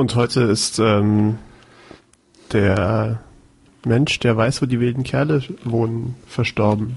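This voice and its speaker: A man's somewhat breathy voice at a very slow pace, very even in loudness and fairly even in intonation, with long, frequent pauses. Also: medium pitch for a man. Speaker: podcast co-host. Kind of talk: casual chat.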